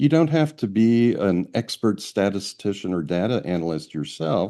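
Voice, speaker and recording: Over a quiet background, a man with a dark, mellow tone and a fairly low pitch talks at a moderate pace, his pitch swinging very widely. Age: 70s. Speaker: astrology researcher. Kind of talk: interview.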